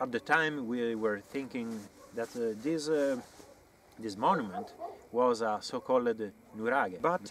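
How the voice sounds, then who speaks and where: A man with a strong Italian accent talks at a fairly slow pace, with ordinary pitch variation and long, frequent pauses. The sound is dry with no echo, over light background noise. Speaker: amateur archaeology researcher and author. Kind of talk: educational talk to camera on site. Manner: hesitant, with frequent fillers. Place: open country.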